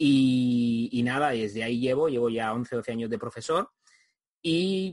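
The sound is dry and close with no echo as a man with an ordinary speaking voice talks at medium pitch with ordinary pitch variation. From Spain. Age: 40s. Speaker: video marketing trainer. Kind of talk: interview.

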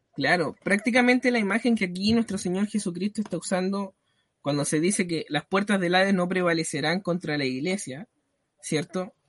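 Pitched high for a man, this male voice moves at a moderate pace with ordinary pitch variation and a dry, close sound with no echo. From Chile. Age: 20s. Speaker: church deacon. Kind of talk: religious talk show discussion.

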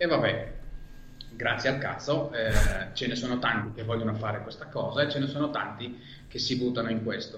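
Moderate pace with audible room echo and noticeable background noise. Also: man. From Israel. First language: Hebrew (speaking Italian). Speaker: podcaster. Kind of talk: interview conversation.

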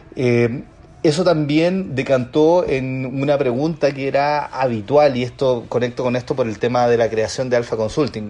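Against noticeable background noise, a man talks at a fairly high pitch with fairly even intonation. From Chile, Chiloé. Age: 30s. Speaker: business consultant and entrepreneur. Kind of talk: casual interview.

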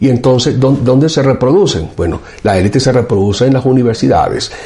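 A man's somewhat breathy, dark, mellow voice, medium in pitch, with ordinary pitch variation at a fairly quick pace. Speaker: professor and show host. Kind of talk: political commentary monologue.

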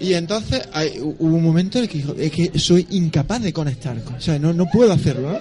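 Against noticeable background noise, a man with a high pitch and ordinary pitch variation speaks at a fairly quick pace with hardly any pauses. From Andalusia, Spain (Almería/Granada). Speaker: astrophysicist and musician. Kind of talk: casual chat. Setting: bar with live audience.

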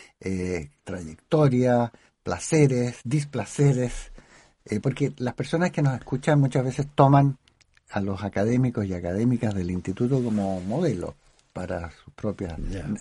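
Over a quiet background, a somewhat breathy voice with a dark, mellow tone moves at a fairly slow pace. Its intonation is lively and its loudness swings widely. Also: man, medium pitch for a man. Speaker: radio host and academic. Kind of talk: radio interview. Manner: formal.

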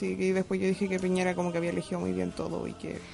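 A woman speaks over music playing in the background. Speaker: podcast co-host. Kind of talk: casual chat.

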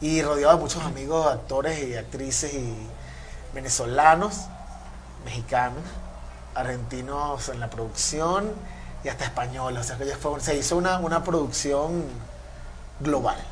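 Pausing long and often, a man talks at a fairly slow pace amid noticeable background noise and audible room echo. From Venezuela. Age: 30s. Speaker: funk guitarist. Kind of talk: casual interview chat.

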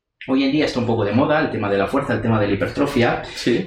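A man is speaking. Audible room echo can be heard. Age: 40s. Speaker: university lecturer and interviewer. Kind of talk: interview.

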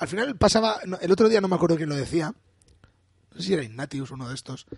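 With vocal fry and very wide pitch swings, a man speaks fairly quickly at a fairly high pitch. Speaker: podcast co-host. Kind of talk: casual chat.

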